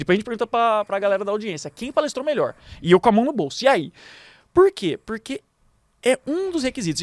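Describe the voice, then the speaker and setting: A man's high voice at a fairly quick pace, with very wide pitch swings and a dry, close sound with no echo. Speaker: public speaking coach and lawyer. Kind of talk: podcast interview. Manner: animated, gesticulating.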